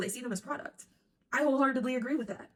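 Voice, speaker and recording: Very fast pace, an animated tone and a somewhat breathy sound. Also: woman. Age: 20s. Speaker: sports commentator. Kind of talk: casual monologue.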